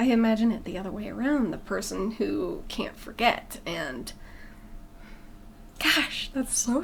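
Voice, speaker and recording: Lively intonation in a woman's fairly high voice, with audible room echo. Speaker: movie reaction youtuber. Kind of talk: casual chat. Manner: halting.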